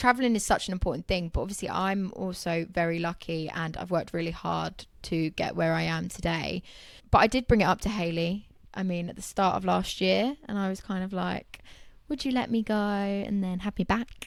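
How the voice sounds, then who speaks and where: On a very clean recording with a silent background, a woman with a southern English accent speaks at a medium pitch with ordinary pitch variation. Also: moderate pace. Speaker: interior designer. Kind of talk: casual chat.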